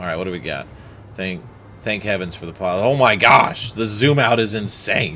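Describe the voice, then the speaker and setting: This man has a fairly low pitch and ordinary pitch variation, talks at a moderate pace with big swings in loudness, and audible room echo surrounds him. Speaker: gaming streamer. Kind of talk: let's play commentary. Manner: voice rises when stressed.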